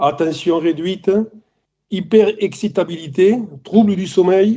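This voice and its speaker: A man speaks at a high pitch in a dark, mellow tone, with ordinary pitch variation. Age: 60s. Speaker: family caregiver. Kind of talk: testimony. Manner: halting, many hesitations.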